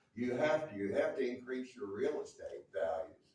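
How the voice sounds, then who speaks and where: An audible room echo surrounds a man with an American accent talking at a fairly slow pace. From US South. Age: 70s. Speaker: local government official. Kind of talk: town hall debate. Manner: halting.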